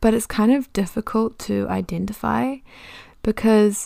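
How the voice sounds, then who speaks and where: Over a silent background in a very clean recording, a woman speaks at a fairly slow pace in a New Zealand accent. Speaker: podcast host. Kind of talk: casual solo monologue. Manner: talkative, chatty.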